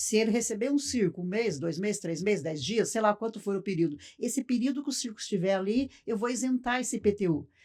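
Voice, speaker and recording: A woman speaks very fast at a fairly high pitch, with hardly any pauses and lively intonation. The recording is very clean, with a silent background. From Brazil, Paraná (Cascavel). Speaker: circus owner. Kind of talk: podcast interview. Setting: studio.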